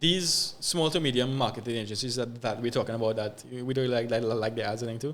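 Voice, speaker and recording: Speaking very fast with a Trinidadian accent, a man holds a medium pitch. His pitch varies in an ordinary way. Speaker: social media content creator. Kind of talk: podcast interview. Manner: halting, many fillers and repeats.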